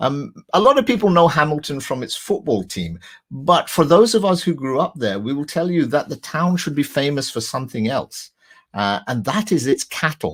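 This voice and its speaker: Spoken with a Scottish accent, this voice moves at a moderate pace and swings very widely in pitch. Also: man, fairly high pitch for a man. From west of Scotland, Lanarkshire. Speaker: crime novelist. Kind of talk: talk with slides.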